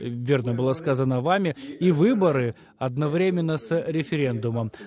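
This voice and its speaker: Faint music plays in the background as a man speaks at a fairly slow pace. His pitch is fairly high with ordinary variation, and the sound is dry with no echo. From Ukraine. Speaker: Ukrainian member of parliament; politician guest. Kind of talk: live TV interview. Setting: remote video link. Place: home room.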